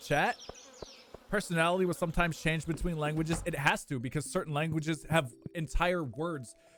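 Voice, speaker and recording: An animated man, high in pitch and fairly quick, with noticeable background noise. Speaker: video game streamer. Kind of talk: casual live stream chat. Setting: live stream with chat.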